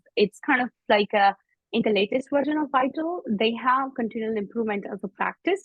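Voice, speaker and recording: Somewhat breathy female voice with ordinary pitch variation. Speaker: IT service management consultant. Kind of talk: webinar presentation. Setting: online webinar. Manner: fast.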